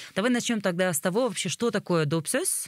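Over a quiet background, a woman speaks with lively intonation in a dry sound with no echo. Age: 30s. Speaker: podcast host. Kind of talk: casual interview conversation; scripted show outro. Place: tent. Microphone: studio mic.

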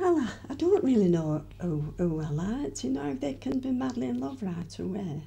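Speaking at a moderate pace with hardly any pauses, a woman uses a very deep, low pitch that swings very widely. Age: 80s+. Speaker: interviewee recalling her youth. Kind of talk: interview answer. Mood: cheerful, reminiscing, laughing. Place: home room. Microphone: handheld.

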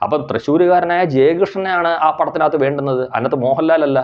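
A man's voice, fairly high in pitch, with ordinary pitch variation. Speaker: film commentary vlogger. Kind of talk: opinion monologue. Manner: halting, repetitive.

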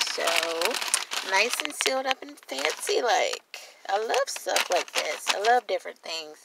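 Loud background noise surrounds a fairly slow voice with ordinary pitch variation, in a dry recording with no echo. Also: woman. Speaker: food vlogger. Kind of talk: casual vlog chat. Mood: delighted, enthusiastic. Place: car. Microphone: phone near.

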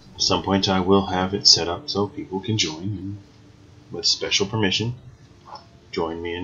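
This man talks at a moderate pace in a fairly low pitch with ordinary pitch variation. Light background noise runs underneath. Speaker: gamer streamer. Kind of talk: casual gaming commentary. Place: home room.

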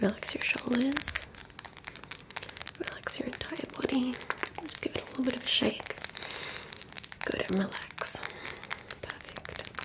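Against loud background noise, a soft-spoken woman talks at a fairly slow pace. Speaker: ASMR creator. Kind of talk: soft ASMR guided instructions. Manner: soft, hushed ASMR relaxation voice. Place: home room. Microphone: studio mic.

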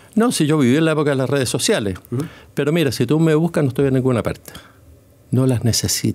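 A man talks at a very fast pace with very even loudness. His pitch varies in an ordinary way. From Chile. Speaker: retired sports journalist. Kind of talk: interview. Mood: warm, reminiscent. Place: studio. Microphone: studio mic.

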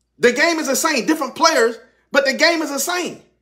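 A man speaks in a raised, projected voice with a bright, sharp, animated tone. His pitch varies in an ordinary way against a quiet background. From US South. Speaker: pastor. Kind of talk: sermon. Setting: church. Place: studio. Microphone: phone near.

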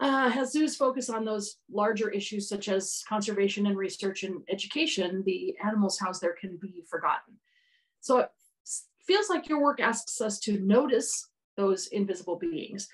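A woman speaks at a moderate pace in a somewhat breathy, medium-pitched voice with ordinary pitch variation. The background is quiet. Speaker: podcast host, academic. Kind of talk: interview, conversational.

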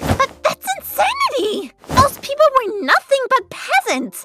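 A female-sounding, put-on character voice at an extremely high pitch speaks at a fairly slow pace. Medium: dub. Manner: indignant, emotional.

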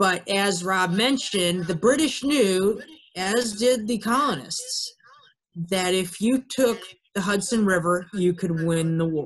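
A man with an American accent speaks at a fairly slow pace. His pitch is high, with ordinary variation. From Ohio. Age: 20s. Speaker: army officer giving a fort tour talk. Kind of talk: webinar presentation. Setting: video call. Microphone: video call.

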